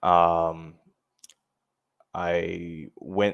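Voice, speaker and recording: Over a quiet background, a man speaks in a very deep, low pitch. His intonation stays monotone and flat. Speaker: cybersecurity meetup presenter. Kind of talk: tutorial.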